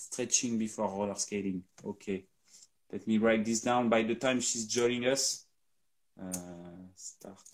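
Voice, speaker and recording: A man with a French accent talks at a fairly slow pace in a medium pitch, his intonation monotone and flat. His loudness swings widely, and he leaves long, frequent pauses. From France. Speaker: company co-founder hosting a live Q&A. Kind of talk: live stream Q&A.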